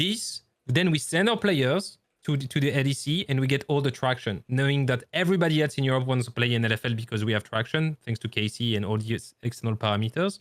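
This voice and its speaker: A man speaks very fast with a French accent and lively intonation, his loudness very even, in a dry, close sound with no echo. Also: medium pitch for a man. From France. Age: 30s. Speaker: esports caster and former coach. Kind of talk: podcast interview. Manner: halting.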